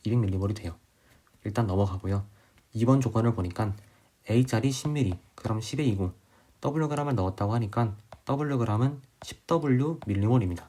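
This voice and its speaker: A somewhat breathy man's voice, medium in pitch with a dark, mellow tone, fairly quick, with ordinary pitch variation and long, frequent pauses. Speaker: chemistry tutor. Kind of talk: tutorial. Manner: slurring words.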